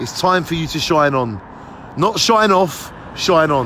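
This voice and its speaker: A man speaks at a fairly slow pace in a dry recording with no echo, with noticeable background noise behind him. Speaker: vlogger. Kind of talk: opinion rant vlog. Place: street. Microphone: phone near.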